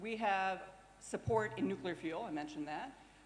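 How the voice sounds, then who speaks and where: Talking at a fairly quick pace, a woman with a medium pitch uses lively intonation, and audible room echo surrounds her voice. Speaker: nuclear industry company representative. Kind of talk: conference presentation. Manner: fast.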